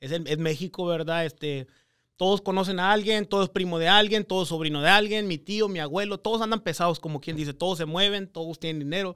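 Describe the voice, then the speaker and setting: A man's high, bright, sharp voice at a fairly quick pace against a quiet background. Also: ordinary pitch variation. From US, Texas Rio Grande Valley. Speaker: real estate investor. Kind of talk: interview storytelling. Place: studio. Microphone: studio mic.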